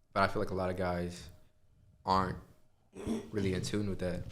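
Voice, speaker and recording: Through audible room echo, a man with a very deep, low voice speaks at a fairly quick pace. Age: 20s. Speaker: podcast host. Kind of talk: casual chat.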